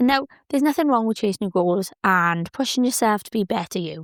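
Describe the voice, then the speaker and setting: On a very clean recording with a silent background and a dry, close sound with no echo, a woman speaks with a British accent. Her pitch is fairly high and her intonation lively. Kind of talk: casual podcast talk. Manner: upbeat, chatty.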